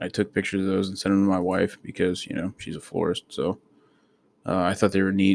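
The delivery is monotone and flat, moving at a fairly quick pace. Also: man. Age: 20s. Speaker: podcaster, soldier. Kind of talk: casual monologue. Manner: rambling with many fillers.

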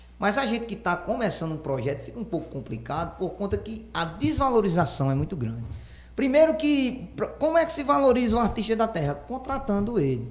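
A man with a high voice swings his pitch very widely at a fairly quick pace. Room echo is audible, and there is noticeable background noise. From Pernambuco agreste, Brazil. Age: 20s. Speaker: accordionist and singer. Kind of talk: casual chat.

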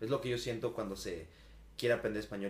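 A man's fairly low-pitched voice with vocal fry. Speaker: podcast co-host. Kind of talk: casual chat. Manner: stammering at times.

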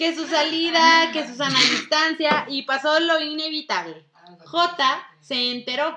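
A woman projects her raised, high-pitched voice at a fairly slow pace with fairly even intonation. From northern Mexico, Durango. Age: 20s. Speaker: chef. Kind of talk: casual chat.

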